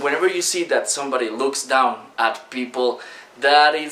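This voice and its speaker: Using a Spanish accent, a man speaks at a moderate pace with a fairly high pitch and ordinary pitch variation. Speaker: online business coach. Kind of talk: talking-head video lesson. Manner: casual, many fillers.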